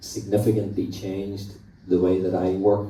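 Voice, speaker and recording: A man's dark, mellow, somewhat breathy voice in a monotone, flat delivery with audible room echo. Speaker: equine vet. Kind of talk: conference presentation.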